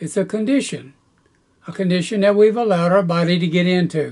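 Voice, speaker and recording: A man talks in a Southern US accent. His pitch is high. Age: 80s+. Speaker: gardening youtuber. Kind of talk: tutorial. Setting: outdoors.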